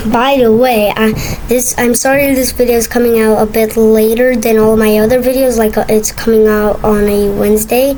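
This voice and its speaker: A woman speaks at a moderate pace in a fairly high, monotone, flat voice with very even loudness, over noticeable background noise and audible room echo. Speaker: gaming video creator. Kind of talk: gameplay commentary. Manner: halting, many fillers and restarts; casual, rambling.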